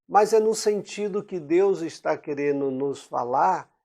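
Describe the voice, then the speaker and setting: A man speaks at a fairly slow pace. He has an unremarkable speaking voice. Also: quiet background. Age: 60s. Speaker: preacher. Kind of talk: sermon.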